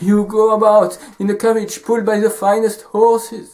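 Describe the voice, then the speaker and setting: A man speaks in a French accent with a high pitch. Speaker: storyteller. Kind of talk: storytelling.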